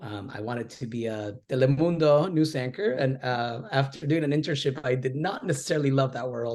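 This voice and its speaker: A somewhat breathy man at a medium pitch, with a fairly quick pace and ordinary pitch variation. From Argentina, then Downey, California from age 11. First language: Spanish. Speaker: educator and author. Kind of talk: interview. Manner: animated, with frequent repetitions and fillers.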